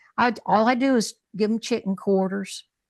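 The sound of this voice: A put-on character voice in a Texan accent, fairly even in intonation, at a moderate pace, dry and close with no echo, over a quiet background. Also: woman, fairly high pitch for a woman.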